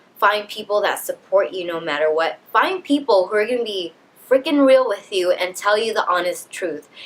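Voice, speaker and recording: Lively intonation from a woman with a fairly high pitch, moderate pace, and noticeable background noise. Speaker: lifestyle vlogger; leadership coach. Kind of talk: motivational vlog talk.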